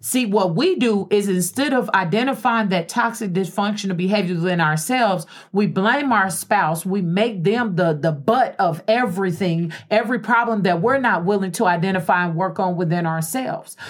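A woman with a plain, everyday voice at medium pitch, ordinary pitch variation and a moderate pace. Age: 40s. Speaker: radio host. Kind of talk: casual chat.

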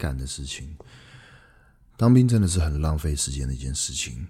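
In a very deep, low pitch, a man talks at a fairly quick pace, his tone dark and mellow and somewhat breathy. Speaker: podcast host, entrepreneur. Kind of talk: casual solo podcast monologue.

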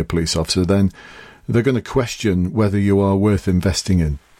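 With an English accent, a man talks at a fairly quick pace in a dark, mellow tone, his fairly low pitch varying in an ordinary way. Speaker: podcast host, police recruitment coach and former police officer. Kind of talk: solo podcast tutorial. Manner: casual.

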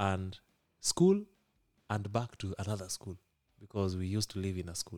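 In a Kenyan accent, a man with a fairly low pitch speaks in a monotone, flat intonation at a moderate pace, leaving long, frequent pauses, and the sound is dry and close with no echo. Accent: Kenyan (Luo) English. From Kisumu, western Kenya. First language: Luo. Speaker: software engineer and company founder. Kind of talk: interview storytelling. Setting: on location at a tech workshop. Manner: halting, many fillers.

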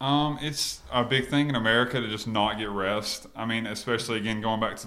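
In a plain, everyday voice, a man speaks at a fairly low pitch and a fairly quick pace with fairly even intonation. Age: 20s. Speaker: fitness trainer and clothing line owner. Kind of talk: casual interview chat.

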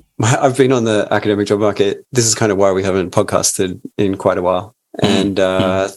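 A man at a moderate pace and fairly low pitch, with a normal speaking voice, in a very clean recording with a silent background. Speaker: podcast co-host. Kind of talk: casual podcast chat.

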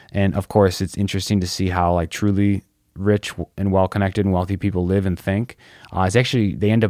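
An ordinary speaking voice with fairly even intonation, in a dry, close sound with no echo. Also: man. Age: 30s. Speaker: podcast host. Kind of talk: casual monologue.

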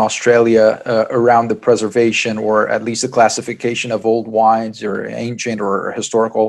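A man's medium-pitched voice comes over noticeable background noise. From Brazil. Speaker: podcast host. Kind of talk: interview. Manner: hesitant with repetitions.

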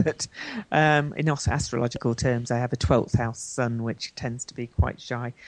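A woman with a British accent talks at a fairly slow pace and a fairly even intonation. The sound is dry and close, with no echo. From Britain. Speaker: astrologer and life coach. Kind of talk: interview. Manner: hesitant, many fillers.

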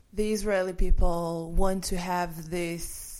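A woman talks at a very slow pace and medium pitch. Music plays in the background. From Israel. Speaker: activist. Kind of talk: interview. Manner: animated.

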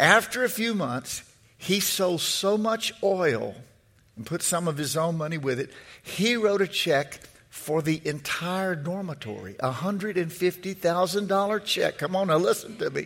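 With an animated tone, a man speaks fairly slowly at a high pitch, using ordinary pitch variation. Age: 60s. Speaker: preacher. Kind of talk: fiery sermon, preacher in full flow with call-and-response. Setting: church with congregation. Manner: repeats words and phrases while building momentum.

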